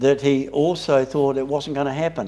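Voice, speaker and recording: A man talks with a New Zealand accent. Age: 80s+. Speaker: Bible study leader. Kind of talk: Bible study discussion. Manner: halting.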